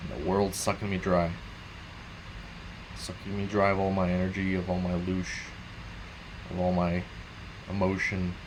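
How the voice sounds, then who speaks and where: Audible room echo surrounds a man's very deep, low voice. His intonation is monotone and flat, with long, frequent pauses. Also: moderate pace. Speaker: gaming streamer. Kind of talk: casual late-night monologue.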